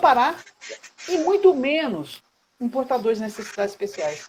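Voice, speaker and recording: A high-pitched woman at a moderate pace, with very wide pitch swings. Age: 60s. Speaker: caregiver advocate, online live host. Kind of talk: casual live chat. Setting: Instagram live video call. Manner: halting, many repetitions.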